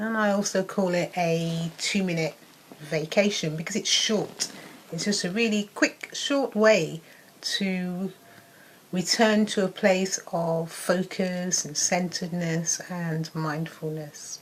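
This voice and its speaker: A soft-spoken woman at a medium pitch and very slow pace, with noticeable background noise. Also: ordinary pitch variation. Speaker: wellness coach. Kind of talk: casual talk to camera; guided meditation.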